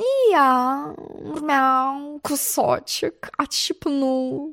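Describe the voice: A woman uses a put-on character voice, high-pitched and fairly bright with vocal fry and ordinary pitch variation, speaking very slowly in a very clean recording with a silent background.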